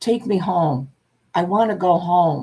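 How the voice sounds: At a fairly slow pace, a strained, put-on character voice speaks at a middle pitch.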